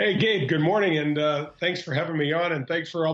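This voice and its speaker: A man with an American accent talks at a fairly quick pace and a fairly high pitch. His intonation is fairly even over noticeable background noise. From Missouri, St. Louis. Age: 50s. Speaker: former pro golfer. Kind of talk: interview. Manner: halting, many fillers.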